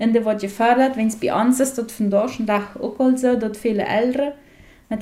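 A woman's fairly high-pitched voice with a dark, mellow tone and fairly even intonation, plus audible room echo. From Paraguay, Mennonite colony Friesland. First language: Plautdietsch (speaking German). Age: 40s. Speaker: media scientist. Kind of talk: radio interview. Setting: at guest's place.

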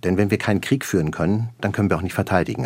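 Vocal fry runs through a man's very deep, low voice. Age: 50s. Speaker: military chief. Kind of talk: interview. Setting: studio.

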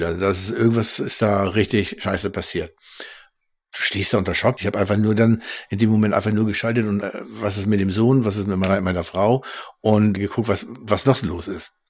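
A man's unremarkable speaking voice, fairly low in pitch, fairly quick, fairly even in intonation, on a very clean recording with a silent background. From Schleswig-Holstein. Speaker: train crash survivor. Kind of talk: interview testimony.

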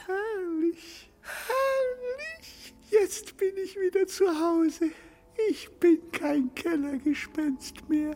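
An extremely high-pitched, put-on character voice talks at a very slow pace. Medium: audio drama. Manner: touchy, vain, easily excited.

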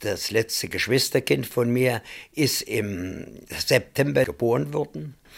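In a very clean recording with a silent background, a man speaks very slowly at a medium pitch, with vocal fry. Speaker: contemporary witness. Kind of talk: personal recollection.

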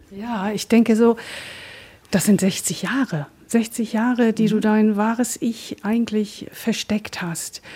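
Against noticeable background noise, a woman talks very slowly at a fairly high pitch with fairly even intonation. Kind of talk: radio interview.

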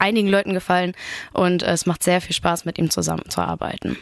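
A woman talks at a fairly quick pace. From Rostock, northern Germany. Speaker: pop singer-songwriter. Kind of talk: radio interview. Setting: radio studio.

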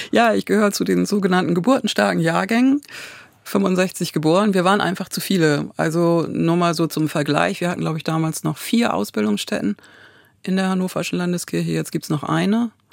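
Her pitch is fairly low for a woman, with very wide pitch swings. She talks at a fairly quick pace. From Ostfriesland, northern Germany. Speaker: pastor. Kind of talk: casual interview. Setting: studio.

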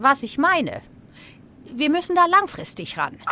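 A woman speaks in a raised, projected voice. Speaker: comedian doing political impressions. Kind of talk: satirical sketch.

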